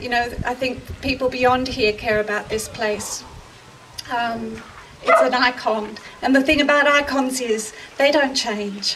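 Noticeable background noise sits behind a woman's high voice. She speaks at a fairly slow pace with fairly even intonation. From Australia. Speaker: actor. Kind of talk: public speech at outdoor rally. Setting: outdoors. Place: open country.

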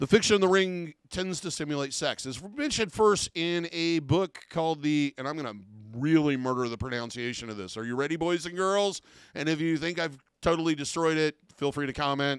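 At a fairly quick pace, a man with fairly high pitch and ordinary pitch variation talks in dry sound with no echo and a quiet background. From US Midwest. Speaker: professional body piercer. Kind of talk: tutorial. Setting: studio. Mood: relaxed, mildly jokey. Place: office. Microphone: studio mic.

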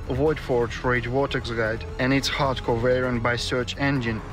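Music plays in the background as a man speaks at a moderate pace. His medium pitch stays monotone, with flat intonation. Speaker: video game build guide narrator. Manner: calm, scripted narration.

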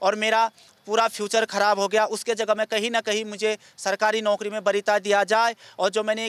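A high-pitched male voice, monotone and flat, at a moderate pace in a dry, close recording with no echo. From Uttarakhand. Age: 30s. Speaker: acquitted former accused seeking justice. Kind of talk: interview testimony.

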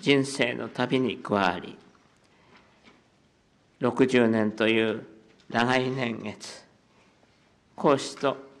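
A man's shaky, medium-pitched voice goes at a very slow pace with fairly even intonation. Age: 80s+. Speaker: head of state. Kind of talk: formal press conference statement. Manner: voice trembling with emotion; slow, measured.

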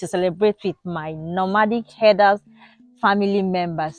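Faint music plays behind a woman speaking at a moderate pace, the sound dry with no echo. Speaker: village life vlogger. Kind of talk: casual vlog chat. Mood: cheerful, smiling. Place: open country.

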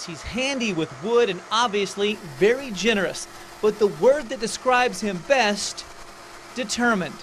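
A man talks at a moderate pace with lively intonation in a high voice. Noticeable background noise runs under him. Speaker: TV news reporter. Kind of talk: TV news feature narration.

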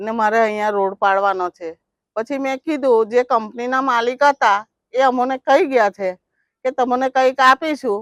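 A woman speaks with a high pitch and ordinary pitch variation. The sound is dry and close, with no echo. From Ankleshwar, Gujarat, India. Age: 60s. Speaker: slum resident, complainant. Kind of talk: news interview testimony.

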